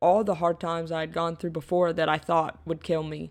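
This woman's voice sits at a fairly low pitch, with fairly even intonation and a moderate pace. The recording is very clean, with a silent background. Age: 20s. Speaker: college basketball player and podcast host. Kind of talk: solo monologue podcast.

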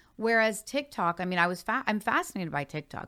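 A plain, everyday voice from a woman with a Canadian accent, medium in pitch with ordinary pitch variation, over a very clean recording with a silent background. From Hamilton, Ontario, Canada. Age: 40s. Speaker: marketing executive and author. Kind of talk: interview.

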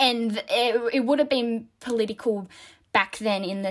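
A woman with an Australian accent speaks at a fairly high pitch with ordinary pitch variation. The recording is very clean, with a silent background. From Australia, New South Wales. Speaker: dancer. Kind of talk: casual chat.

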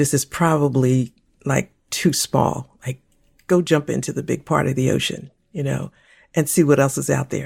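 A woman speaks at a moderate pace in a very deep, low pitch, her intonation fairly even and touched with vocal fry. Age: 60s. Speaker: co-host and former pastor. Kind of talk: casual conversational podcast discussion.

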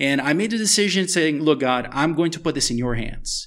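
A man talks at a fairly quick pace with ordinary pitch variation in a plain, everyday voice. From US, Miami (moved from Brazil at eight). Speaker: author and global health expert. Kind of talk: interview testimony. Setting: at a table in a house in Brazil.

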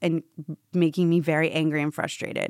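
Fairly quick and fairly low-pitched, a woman with an American accent talks in an unremarkable speaking voice, the sound dry and close with no echo. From Tampa, Florida, US. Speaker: stand-up comedian. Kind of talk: casual interview chat.

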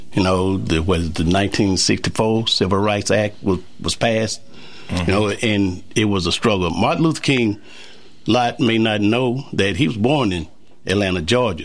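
With an American accent, a man of fairly low pitch speaks at a moderate pace, with ordinary pitch variation and very even loudness. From US South. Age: 60s. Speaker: community guest. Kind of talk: casual chat. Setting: studio.

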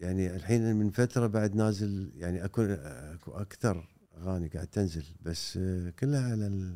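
With a very deep, low pitch and ordinary pitch variation, a man speaks at a moderate pace with hardly any pauses. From Kuwait. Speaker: poet and songwriter. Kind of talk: casual interview chat.

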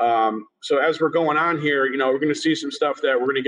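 A man with an American accent talks at a fairly quick pace and a fairly high pitch. He has a normal speaking voice. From Massachusetts (Springfield). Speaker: cannabis cultivation manager. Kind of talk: interview.

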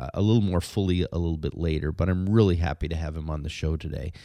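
Against a quiet background, a man talks at a very fast pace, his very deep, low voice dark and mellow, with ordinary pitch variation. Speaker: podcast host. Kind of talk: casual chat. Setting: studio. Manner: halting.

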